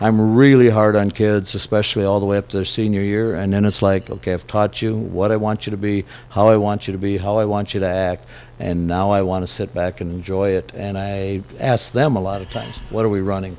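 Here is a man with an unremarkable speaking voice and fairly low pitch. He talks at a fairly quick pace with fairly even intonation. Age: 60s. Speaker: high school basketball coach. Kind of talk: interview. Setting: live remote broadcast from a cafe.

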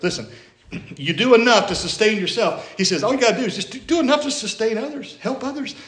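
A man with an American accent at a very fast pace, amid audible room echo and noticeable background noise. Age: 50s. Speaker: pastor. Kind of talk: sermon. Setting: church.

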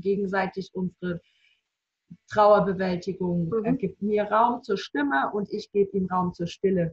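A somewhat breathy woman's voice at medium pitch, fairly slow in pace, with a dry, close sound and no echo. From Baden-Württemberg, near Reutlingen. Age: 30s. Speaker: bereaved mother. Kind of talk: personal testimony.

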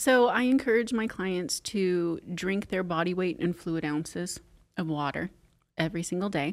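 The speech has a moderate pace and ordinary pitch variation in an unremarkable speaking voice. The recording is very clean with a silent background. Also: woman, medium pitch for a woman. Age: 50s. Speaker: Pilates instructor and studio owner. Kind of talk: casual interview.

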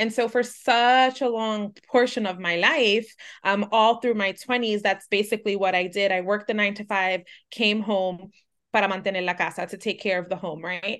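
A woman with an American accent talks at a moderate pace with fairly even intonation in an unremarkable speaking voice against a quiet background. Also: medium pitch for a woman. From New York City (Manhattan). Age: 30s. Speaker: business founder. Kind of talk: interview.

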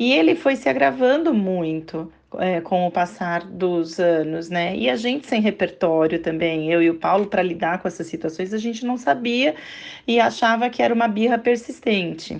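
Here is a normal speaking voice with lively intonation at a moderate pace. The background is quiet. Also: woman, medium pitch for a woman. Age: 40s. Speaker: mother of a child with a behavioral disorder. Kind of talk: interview.

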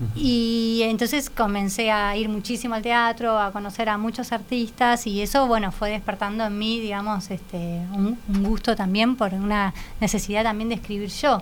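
A fairly high-pitched woman's voice at a moderate pace, in a monotone, flat delivery. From Argentina. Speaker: playwright and theatre critic. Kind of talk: interview.

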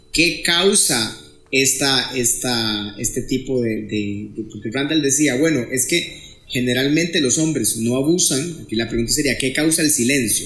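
A man speaks at a fairly slow pace with medium pitch and ordinary pitch variation. Audible room echo surrounds his voice. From Costa Rica, Pérez Zeledón. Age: middle-aged. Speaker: psychologist. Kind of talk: podcast interview.

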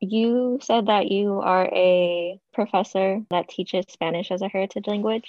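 A woman uses a normal speaking voice at medium pitch. She talks at a fairly slow pace with fairly even intonation and hardly any pauses. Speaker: podcast co-host, student. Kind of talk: casual interview.

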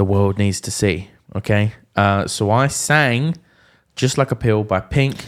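The recording is very clean, with a silent background. A man speaks in a normal speaking voice, fairly low in pitch and with ordinary pitch variation. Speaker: podcast host. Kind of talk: casual chat.

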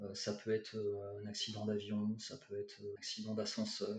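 Using fairly even intonation, a man speaks at a moderate pace in a fairly low voice. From France, Bordeaux. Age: 40s. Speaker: English teacher and author. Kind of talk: interview. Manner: halting, many repetitions.

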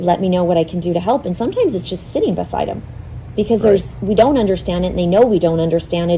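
A woman with a fairly low pitch and ordinary pitch variation speaks over noticeable background noise. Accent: American. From Arizona, North Phoenix. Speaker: charity volunteer and mother. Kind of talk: casual interview.

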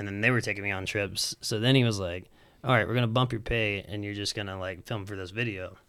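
A man with an American accent, fairly low-pitched, bright and sharp in tone, with fairly even intonation at a very fast pace, on a very clean recording with a silent background. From Alabama (Huntsville). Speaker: professional skateboarder. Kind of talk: casual chat.

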